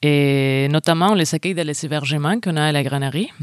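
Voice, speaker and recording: A woman with a Spanish accent speaks in a very deep, low voice, recorded very cleanly against a silent background with a dry, close sound and no echo. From Spain. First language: Spanish (speaking French). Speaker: venue box office worker. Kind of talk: interview.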